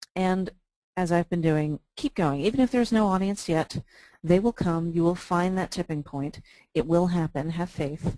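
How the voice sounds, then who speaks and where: Against a quiet background, a woman with an American accent uses a dark, mellow tone at a fairly low pitch, with ordinary pitch variation and a moderate pace, in a dry, close sound with no echo. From New York. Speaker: librarian. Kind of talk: webinar presentation. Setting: online webinar.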